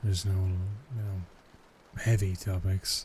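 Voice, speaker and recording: Soft-spoken and calm in tone, a man speaks at a fairly slow pace in a very deep, low pitch, his dark, mellow voice somewhat breathy and monotone, with flat intonation. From Ireland. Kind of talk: ASMR boyfriend roleplay, casual talk. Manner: soft-spoken, calm.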